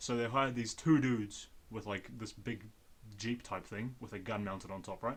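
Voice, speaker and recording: At a moderate pace, the speaker talks with a New Zealand accent and fairly even intonation. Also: man, medium pitch for a man. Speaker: podcast host. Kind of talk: casual chat.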